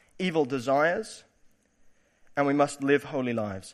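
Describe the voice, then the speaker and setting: Lively intonation from a man, very cleanly recorded against total silence. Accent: British. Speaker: preacher giving a church sermon. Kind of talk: sermon. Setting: church.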